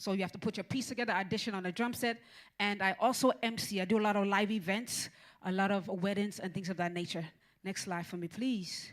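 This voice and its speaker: A woman talks at a very fast pace and a medium pitch in an animated tone. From Caribbean, raised in Miami. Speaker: music business speaker, drummer and event MC. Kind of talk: seminar presentation. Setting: stage with audience. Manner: animated, hype-style.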